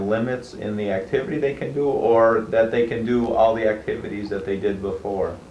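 Male speech in audible room echo, light noise behind it, its pitch varying in an ordinary way. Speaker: physician. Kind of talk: interview. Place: studio.

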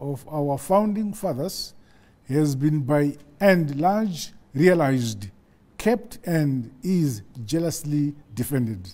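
Pitch swings very widely as this man talks at a very slow pace. His voice is somewhat breathy. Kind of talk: formal national address. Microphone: lapel.

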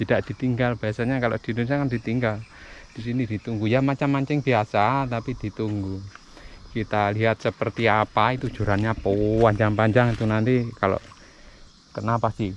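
At a moderate pace, a man speaks with a fairly low pitch and fairly even intonation.

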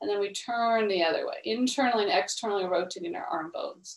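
Against a quiet background with audible room echo, a woman speaks at a moderate pace. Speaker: exercise instructor. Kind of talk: class instruction. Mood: calm, encouraging. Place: home room. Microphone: video call.

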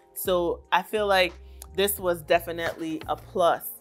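A woman speaks at a very slow pace. Faint music can be heard in the background. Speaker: beauty vlogger. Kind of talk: casual haul review chat. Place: home room. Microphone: lapel.

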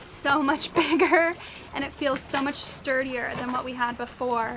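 A woman's high-pitched voice at a moderate pace, fairly even in intonation, over noticeable background noise. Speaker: sailing vlogger. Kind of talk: casual vlog chat. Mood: mildly annoyed then pleased. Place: boat. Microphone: phone near.

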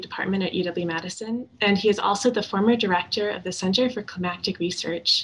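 This woman speaks at a fairly quick pace with an American accent. Her pitch varies in an ordinary way. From Wisconsin (Shorewood, near Milwaukee). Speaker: undergraduate student. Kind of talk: speaker introduction. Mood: warm, friendly. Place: home room. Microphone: webcam.

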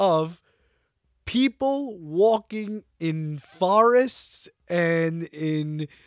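Against a quiet background with a dry, echo-free sound, the voice is animated, with very wide pitch swings. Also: man. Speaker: podcast host. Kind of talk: casual comedic monologue. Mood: mock-bored, sarcastic. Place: home room. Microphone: studio mic.

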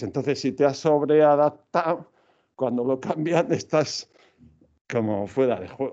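A man's fairly high-pitched voice, dark and mellow in tone, at a fairly slow pace over a quiet background. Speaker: computational linguistics researcher; invited lecturer. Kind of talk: lecture. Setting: lecture hall, hybrid event. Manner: halting. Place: hall.

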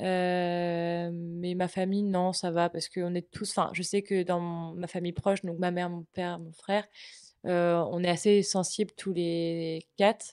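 A woman's fairly low voice in monotone, flat intonation at a fairly slow pace, against a quiet background. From Brittany, France. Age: 20s. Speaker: communication student. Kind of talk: personal testimony interview. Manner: halting, many hesitations.

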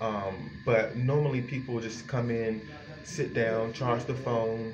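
A man with noticeable background noise. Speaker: vlogger describing a shelter resource center. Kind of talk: casual vlog chat. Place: bathroom. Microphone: phone near.

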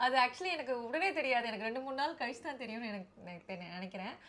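Her intonation is lively. The woman's pitch sits high. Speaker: YouTuber interviewing her husband. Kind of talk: casual interview. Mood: warm, animated, smiling. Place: home room.

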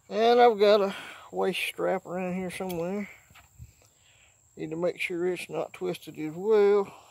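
A man talks at a high pitch, with vocal fry and a slightly mellow tone. His pace is fairly slow and his intonation fairly even.

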